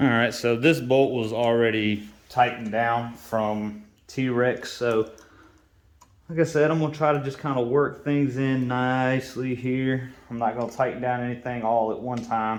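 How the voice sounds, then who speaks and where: An unremarkable speaking voice from a man, medium in pitch, with fairly even intonation and a moderate pace. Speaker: motorcycle DIY vlogger. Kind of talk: tutorial.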